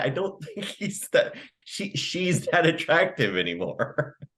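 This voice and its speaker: Vocal fry marks a man's voice as he speaks at a fairly slow pace. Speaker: podcast co-host. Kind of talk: casual comedic chat.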